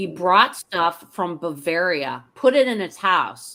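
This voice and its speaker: On a very clean recording with a silent background, a woman with a Pittsburgh accent speaks at a medium pitch in a bright, sharp tone. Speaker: retired teacher. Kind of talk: interview answer. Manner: casual, chatty.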